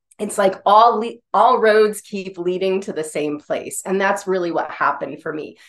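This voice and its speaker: An ordinary speaking voice from a woman with an American accent, medium-pitched with ordinary pitch variation, at a moderate pace with hardly any pauses. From US Northeast, northern Vermont. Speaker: intuitive healer. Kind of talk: guided energy clearing.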